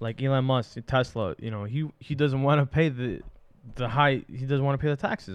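In an American accent, a man speaks with an unremarkable speaking voice at medium pitch. His pace is moderate and his pitch variation ordinary. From New York City, Astoria, Queens. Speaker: podcast co-host. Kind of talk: casual chat.

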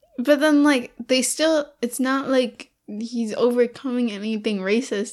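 A woman talks at a fairly slow pace in an ordinary speaking voice. Her pitch is fairly high and her intonation fairly even. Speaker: podcast co-host. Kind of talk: casual chat, movie review podcast.

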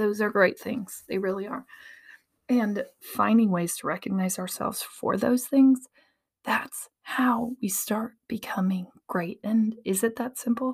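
Somewhat breathy and fairly high-pitched, a woman speaks at a fairly slow pace with fairly even intonation. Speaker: podcast host. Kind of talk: solo monologue podcast, personal reflection. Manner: conversational, casual, laughs often.

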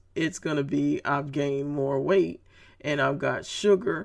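A woman with vocal fry and a very deep, low pitch speaks at a moderate pace with ordinary pitch variation. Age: 50s. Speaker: podcast host, motivational speaker. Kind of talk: motivational monologue.

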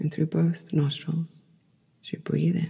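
Soft-spoken delivery at a fairly slow pace. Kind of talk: guided yoga nidra meditation, soothing instructions to a listener lying down. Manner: soft and calming, voice rising and falling in volume.

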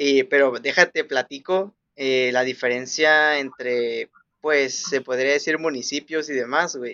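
Fairly high in pitch, this man has a plain, everyday voice. He speaks at a fairly slow pace with fairly even intonation. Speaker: podcast co-host. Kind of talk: casual chat.

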